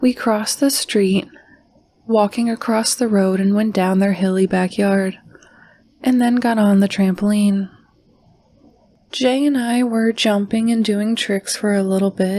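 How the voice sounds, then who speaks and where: A woman speaks at a medium pitch and fairly slow pace, her dark, mellow tone held at a very even loudness with fairly even intonation and long, frequent pauses. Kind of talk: horror podcast narration reading listener stories. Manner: soft-spoken.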